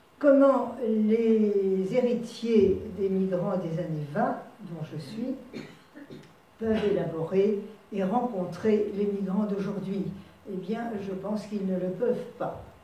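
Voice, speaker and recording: Speech at a very slow pace, with ordinary pitch variation, plays through audible room echo and noticeable background noise. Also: woman, medium pitch for a woman. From France. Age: 80s+. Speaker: author and translator giving a talk. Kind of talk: lecture. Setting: conference hall with audience. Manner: halting.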